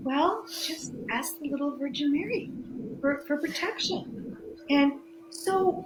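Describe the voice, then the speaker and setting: Over noticeable background noise and audible room echo, a woman talks very slowly in a high voice with ordinary pitch variation. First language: Greek. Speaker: spirituality guest, former therapist. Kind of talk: interview. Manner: halting, many restarts and fillers.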